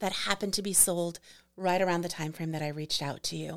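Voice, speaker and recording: A woman's plain, everyday voice at medium pitch with ordinary pitch variation, on a very clean recording with a silent background. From New York City. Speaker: property manager and graduate student. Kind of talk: casual interview conversation. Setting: studio.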